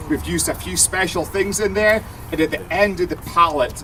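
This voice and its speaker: An animated man at a moderate pace, with noticeable background noise. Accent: Scottish. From Scotland. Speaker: brewer and TV presenter. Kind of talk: live beer tasting demo for audience.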